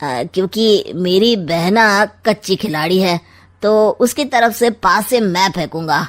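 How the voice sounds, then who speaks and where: In a cartoonish character voice, a woman talks very slowly with lively intonation. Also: medium pitch for a woman. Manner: sly, mocking.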